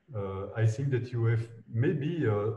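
A man speaks at a very slow pace in a medium pitch, with ordinary pitch variation. Room echo can be heard around his voice. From Belgium. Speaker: architect. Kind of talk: interview. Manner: halting. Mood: reflective, calm. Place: office. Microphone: video call.

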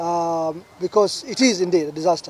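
Heard in a dry sound with no echo, a man speaks at a high pitch with fairly even intonation. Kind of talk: press statement. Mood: serious, urgent appeal. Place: garden. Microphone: podium.

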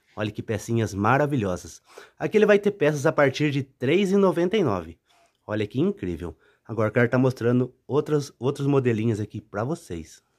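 In a very clean recording with a silent background and a dry, close sound with no echo, a man with vocal fry speaks at a medium pitch and a moderate pace, his tone animated and upbeat and his pitch swinging very widely. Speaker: street market sales channel host. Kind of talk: sales pitch. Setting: showing products on camera, vlog. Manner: animated, upbeat pitchman patter; repeats 'olha que top' and 'tá?' constantly.

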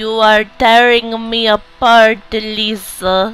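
Someone performs a put-on character voice at a fairly high pitch, very slow and in a monotone, flat intonation.

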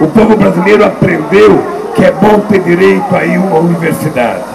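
A man speaks with music playing in the background. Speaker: politician addressing rally. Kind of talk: political speech. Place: stage. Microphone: handheld.

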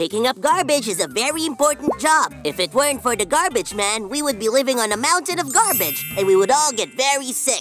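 A cartoonish character voice runs at a fairly quick pace and a fairly high pitch. Music plays clearly in the background. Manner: excitable, chatty, boastful.

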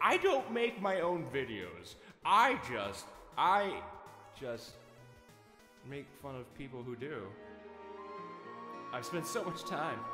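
A cartoonish character voice from a man, fairly high in pitch, over clear music in the background. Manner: sneering, sarcastic, then earnest.

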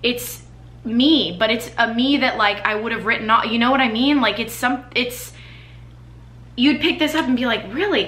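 Audible room echo surrounds a woman speaking at a moderate pace. Her fairly high pitch carries an animated tone and ordinary pitch variation. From US Midwest, Chicago suburbs; Illinois. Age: 20s. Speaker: YouTuber and performer; YouTuber. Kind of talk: casual chat to camera, product reviews. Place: home room. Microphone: camera far.

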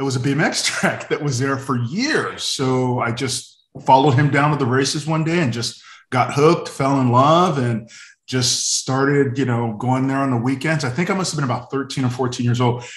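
A man's somewhat breathy, medium-pitched voice with an American accent, fairly even intonation and a moderate pace, in a quiet background with audible room echo. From Northern California. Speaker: former BMX racer; podcast guest. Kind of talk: casual chat. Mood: relaxed, friendly. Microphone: video call.

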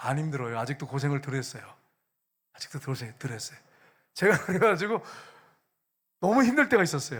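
In a very clean recording with a silent background, a man talks at a fairly quick pace in an animated tone with very wide pitch swings. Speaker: pastor. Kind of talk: sermon.

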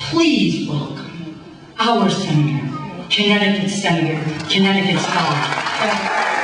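Speech moves at a fairly slow pace. Noticeable background noise and audible room echo fill the recording. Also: woman. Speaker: politician. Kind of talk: campaign rally speech. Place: hall.

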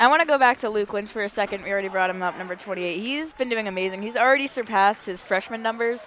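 A woman uses a normal speaking voice at a medium pitch with ordinary pitch variation, the sound dry with no echo and light background noise behind her. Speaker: student sports broadcaster. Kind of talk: casual sports analysis. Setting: arena broadcast. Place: stadium. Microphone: headset.

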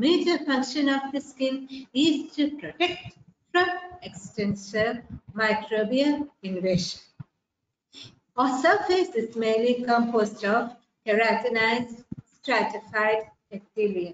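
A woman speaks at a fairly slow pace with long, frequent pauses, with audible room echo and light background noise. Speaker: microbiology teacher. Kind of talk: lecture. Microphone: webcam.

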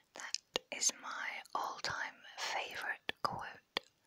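A whisper moves at a very slow pace, with noticeable background noise behind it. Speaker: ASMR creator. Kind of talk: ASMR whispering. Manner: slow, repeated phrases.

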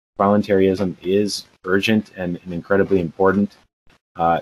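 This is a male speaker. He has a very deep, low voice. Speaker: remote podcast guest. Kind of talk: interview answer. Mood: relaxed, smiling. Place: home room. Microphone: video call.

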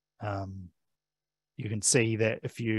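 Against a quiet background, a man with a New Zealand accent talks at fairly low pitch in a monotone, flat intonation, the sound dry with no echo. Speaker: digital library services manager; presenter. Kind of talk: presentation. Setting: library talk streamed on Zoom. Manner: many filler sounds (um, uh). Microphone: headset.

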